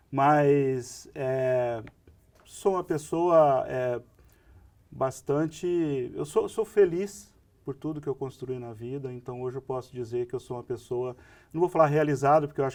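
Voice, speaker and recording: A man at a medium pitch and moderate pace, with ordinary pitch variation and big swings in loudness. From interior of São Paulo state, Brazil. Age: 60s. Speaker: pharmacy association executive. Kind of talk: podcast interview.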